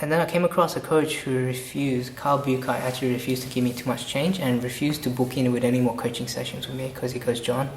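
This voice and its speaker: A man's medium-pitched voice at a fairly quick pace, with noticeable background noise and audible room echo. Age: young. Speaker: copywriter and coach. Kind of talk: casual interview. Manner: fast; animated.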